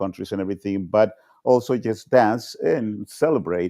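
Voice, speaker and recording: With a Spanish accent, a man with a fairly low pitch and a dark, mellow tone speaks at a moderate pace against a quiet background. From Colombia. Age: 60s. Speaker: panel participant. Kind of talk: casual chat. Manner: halting.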